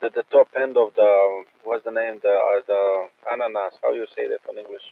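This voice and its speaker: At a moderate pace, this voice speaks with a Croatian accent and big swings in loudness. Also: man. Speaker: amateur radio operator. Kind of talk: casual chat. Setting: radio net. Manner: halting, many repetitions.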